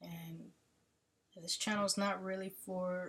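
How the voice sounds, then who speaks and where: Very slow in pace, a woman speaks in a somewhat breathy voice. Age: 30s. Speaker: army veteran. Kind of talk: casual chat. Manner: halting.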